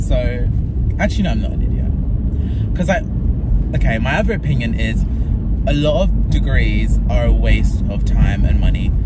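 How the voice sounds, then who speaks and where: Amid loud background noise, a man speaks at a moderate pace with a dry sound and no echo. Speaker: vlogger. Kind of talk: casual vlog chat. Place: car. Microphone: phone near.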